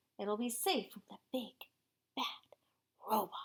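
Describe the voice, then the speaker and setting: A woman uses a put-on character voice. It sits fairly high in pitch at a moderate pace. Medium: read story.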